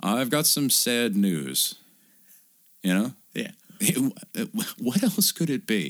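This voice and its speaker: A man with vocal fry speaks at a medium pitch and a very slow pace, his pitch swinging very widely between long, frequent pauses. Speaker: podcast co-host. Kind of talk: casual banter, comedic movie review chat. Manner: profane, joking, animated.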